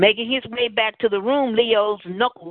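Moderate pace from a woman with a Southern US accent. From Tennessee, US South. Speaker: talk show host and novelist. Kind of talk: casual talk show chat; reading aloud from own novel.

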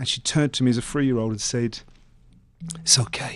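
A man speaks in a London accent at a medium pitch. The background is quiet. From England, East London. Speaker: motivational speaker. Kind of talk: interview testimony. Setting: studio.

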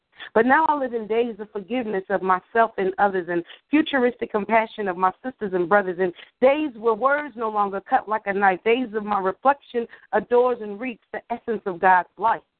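At a fairly quick pace, a woman with a plain, everyday voice speaks at a fairly high pitch with ordinary pitch variation. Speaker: guest co-host of poetry radio show. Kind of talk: casual interview chat.

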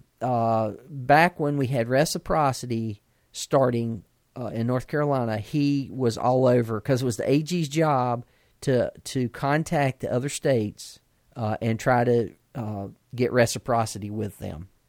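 A man in a plain, everyday voice talks at a fairly slow pace with a medium pitch and ordinary pitch variation, the recording very clean with a silent background and a dry, close sound with no echo. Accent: American. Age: 50s. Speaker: podcast host. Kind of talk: casual chat.

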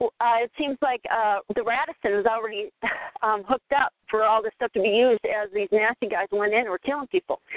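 In an ordinary speaking voice, a woman with an American accent talks at a fairly quick pace and fairly high pitch with ordinary pitch variation. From Minnesota. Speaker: caller. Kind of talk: call-in group discussion. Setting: phone conference call.

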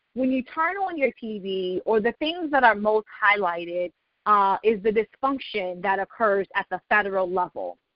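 An ordinary speaking voice with an American accent, lively intonation, and a fairly slow pace. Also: woman. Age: 30s. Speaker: state legislator. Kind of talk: informational talk on a call. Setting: conference call. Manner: formal.

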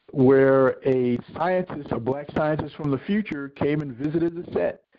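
Fairly high in pitch, a man talks in a plain, everyday voice. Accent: American. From US Northeast, Philadelphia. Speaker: TV producer and science fiction writer. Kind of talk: interview. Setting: phone call.

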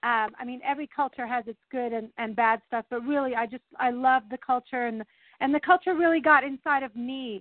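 Speaking with an American accent, a woman talks at a high pitch and a fairly quick pace. Her intonation stays fairly even while her loudness swings a lot. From France, American missionary kid. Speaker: ministry guest. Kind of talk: casual chat. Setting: phone or video call.

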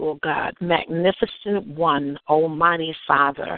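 Here is a woman with an unremarkable speaking voice. Her pitch is fairly low and her intonation fairly even. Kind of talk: fervent prayer.

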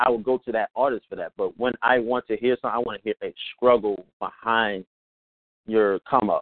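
Here a man speaks at a fairly quick pace and a medium pitch. His is an unremarkable speaking voice. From Baltimore, US. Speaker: podcaster. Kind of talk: casual chat.

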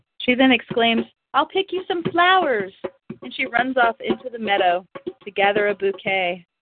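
A woman speaks at a fairly high pitch and a moderate pace. Her pitch swings very widely. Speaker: workshop leader. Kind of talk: guided meditation. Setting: live group phone call.

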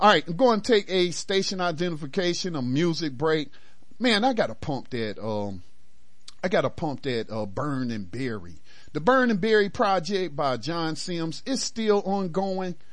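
Speaking with an American accent, a man uses a high pitch and very wide pitch swings. His tone is animated and his pace moderate. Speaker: radio host. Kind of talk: call-in talk radio, fervent commentary on race and politics. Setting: radio studio with phone lines. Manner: animated, emphatic, repeats phrases for emphasis.

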